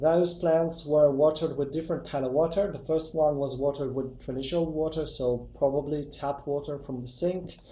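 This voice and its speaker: Somewhat breathy and dark, mellow in tone, a man talks at a fairly quick pace with a fairly high pitch and fairly even intonation. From Italy. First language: Italian. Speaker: YouTuber testing myths. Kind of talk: casual video intro. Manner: hesitant.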